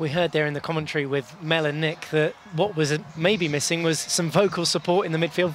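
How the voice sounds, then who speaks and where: There is noticeable background noise behind a man's voice. He talks very fast with fairly even intonation. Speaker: sports presenter. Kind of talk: live TV sports presenter link.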